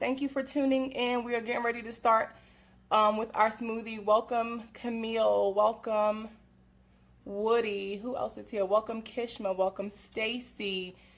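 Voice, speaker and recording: In a very clean recording with a silent background, a woman speaks at a fairly high pitch with monotone, flat intonation. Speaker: women's health coach. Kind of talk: live stream cooking demo. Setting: home kitchen, livestream. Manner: fast.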